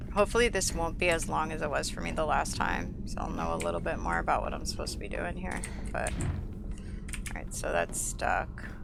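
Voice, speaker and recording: Someone with an American accent talks at a fairly quick pace with hardly any pauses, amid noticeable background noise and audible room echo. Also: woman. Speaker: gaming streamer. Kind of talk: let's play commentary. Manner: casual, conversational.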